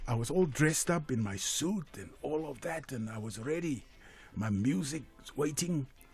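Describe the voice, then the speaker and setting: A man with fairly high pitch and big swings in loudness, music in the background. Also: lively intonation, moderate pace. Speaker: veteran singer. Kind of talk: radio interview. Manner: halting.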